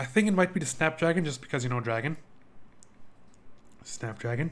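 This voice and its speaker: Intonation rises and falls in a lively way as the words come at a fairly quick clip. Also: man, fairly high pitch for a man. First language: not English. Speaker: video game streamer. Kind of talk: live game playthrough commentary with reading aloud.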